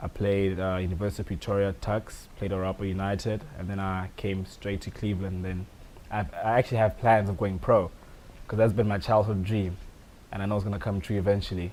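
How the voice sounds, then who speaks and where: A man with a South African accent speaks at a fairly quick pace. His pitch is fairly low and his intonation fairly even. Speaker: soccer player. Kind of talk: interview. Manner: casual, frequent fillers.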